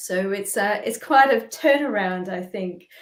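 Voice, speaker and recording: In an Australian accent, a woman speaks at a medium pitch. Her pace is fairly slow, and her pitch variation is ordinary. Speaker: spiritual practitioner. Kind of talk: interview.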